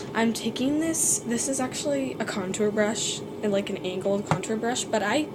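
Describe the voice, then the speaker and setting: Amid noticeable background noise and audible room echo, a woman with a fairly high pitch talks at a moderate pace with lively intonation. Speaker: beauty vlogger. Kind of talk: makeup tutorial. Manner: casual, filler-heavy.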